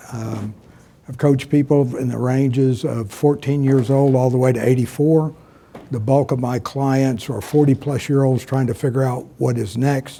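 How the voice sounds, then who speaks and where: A man with a normal speaking voice and an American accent talks at a moderate pace, medium in pitch with fairly even intonation. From Texas. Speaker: career coach. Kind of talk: panel discussion.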